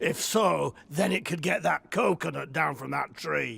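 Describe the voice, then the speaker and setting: A raspy, put-on character voice from a man, fairly high in pitch, at a moderate pace. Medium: video game. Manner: sardonic, blunt.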